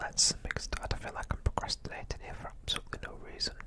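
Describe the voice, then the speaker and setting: Amid noticeable background noise, a man whispers in a relaxed tone. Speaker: ASMR YouTuber and hobbyist 3D modeller. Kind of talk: quiet ASMR tutorial narration. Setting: close-up microphone. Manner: quiet, whispery, relaxed.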